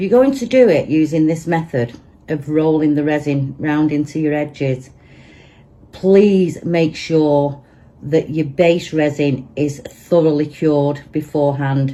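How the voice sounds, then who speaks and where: In a Manchester accent, a woman with a very deep, low pitch and a dark, mellow tone talks at a fairly slow pace with ordinary pitch variation. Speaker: resin crafter. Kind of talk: tutorial. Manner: casual, chatty.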